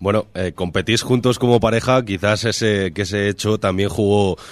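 His pitch shows ordinary variation. The man keeps a moderate pace. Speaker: radio host. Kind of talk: interview. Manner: halting.

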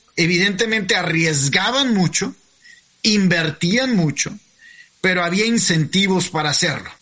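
Amid noticeable background noise, a man speaks in a raised, projected voice, high in pitch, with very even loudness. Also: ordinary pitch variation, fairly slow pace. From Mexico. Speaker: podcast host. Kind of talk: interview. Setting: video call.

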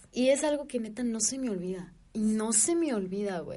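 The speaker has a Mexican accent. The pace is moderate, and the pitch varies in an ordinary way. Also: woman. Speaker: podcast co-host. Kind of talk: casual chat.

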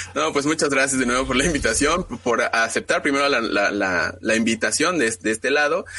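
Amid noticeable background noise, a man with a fairly high pitch and ordinary pitch variation talks with hardly any pauses. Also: fairly quick pace, very even loudness. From Mexico City. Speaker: football fan blogger. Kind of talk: casual chat.

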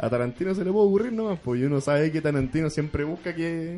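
A man speaks in a plain, everyday voice, pitched fairly high. His pitch varies in an ordinary way. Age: 20s. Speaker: film fan guest. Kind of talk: casual chat.

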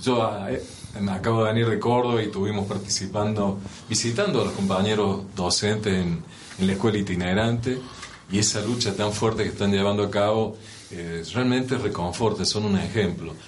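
A man's fairly low voice at a moderate pace, with fairly even intonation, audible room echo and noticeable background noise. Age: 60s. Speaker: union leader and show host. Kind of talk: interview.

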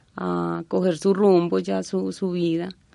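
Pitched fairly low, a woman speaks with very wide pitch swings. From Colombia, Antioquia. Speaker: university department secretary. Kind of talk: interview.

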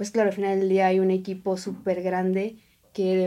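On a very clean recording with a silent background, a woman talks at a medium pitch with a dark, mellow tone. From Oaxaca, Mexico. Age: 20s. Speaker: chef. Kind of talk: casual chat. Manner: halting.

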